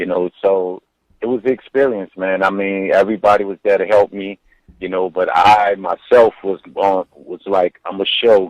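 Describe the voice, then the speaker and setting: In a dry, close sound with no echo, a man speaks at a moderate pace and a fairly low pitch with monotone, flat intonation. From New Orleans. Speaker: rapper. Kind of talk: interview.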